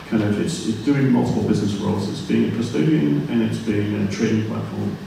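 Speaking at a fairly quick pace, a man is heard against light background noise with strong room echo. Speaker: speaker. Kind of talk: panel discussion answer. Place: hall.

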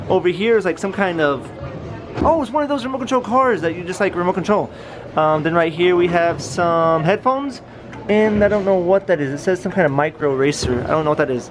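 The talking is fairly quick. Behind it, music can be heard. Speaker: vlogger filming. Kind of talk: casual vlog commentary. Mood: cheerful, upbeat. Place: hall. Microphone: phone near.

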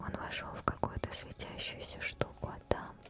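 A soft-spoken woman whispering at a very slow pace, with a dry sound with no echo and noticeable background noise. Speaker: game streamer. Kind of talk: reading game dialogue aloud, casual commentary. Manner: soft whisper reading girl's line. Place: home room.

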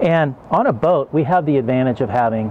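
A man at a fairly quick pace, with ordinary pitch variation and light background noise. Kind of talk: tutorial. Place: garden. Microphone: lapel.

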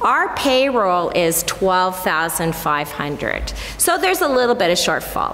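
A woman with lively intonation over music in the background. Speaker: church council member giving financial update. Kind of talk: announcement to congregation. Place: church. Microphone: podium.

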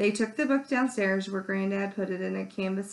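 The intonation shows ordinary pitch variation in an unforced reading voice.

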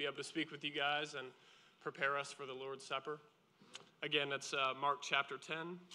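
A man's fairly high voice, bright and sharp in tone, at a moderate pace with monotone, flat intonation. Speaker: lay speaker giving communion message; speaker. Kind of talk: sermon. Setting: church. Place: church.

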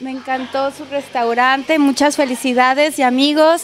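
Against light background noise, a woman talks at a moderate pace and high pitch, the sound dry with no echo. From northern Mexico (Baja California). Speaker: radio/video host. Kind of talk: on-location interview and restaurant tour. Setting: on location in a restaurant. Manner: animated. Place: cafe. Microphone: handheld.

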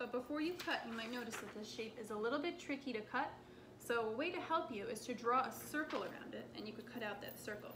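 Over noticeable background noise, a woman talks at a very fast pace. Her voice is high, with ordinary pitch variation. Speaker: craft teacher. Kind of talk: tutorial. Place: kitchen. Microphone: camera far.

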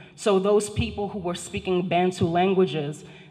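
A woman speaks with a Haitian accent at a moderate pace and fairly even intonation. The background is quiet. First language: Haitian Creole. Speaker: professor. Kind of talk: lecture. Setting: stage with audience. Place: hall. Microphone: handheld.

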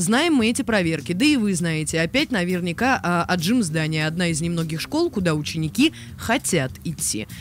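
The speech moves at a moderate pace, with faint music in the background. The sound is dry, with no echo. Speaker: radio host. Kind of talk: radio talk show. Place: studio. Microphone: studio mic.

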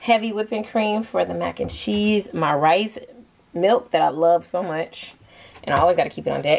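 The woman moves at a moderate pace, and her pitch variation is ordinary. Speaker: home vlogger. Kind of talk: casual vlog chat. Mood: playful, chatty. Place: kitchen. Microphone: phone near.

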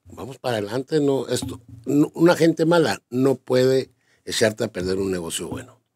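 The man's pitch swings very widely at a moderate pace. Behind him the background is quiet. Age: 50s. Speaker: business owner; interviewee. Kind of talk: interview.

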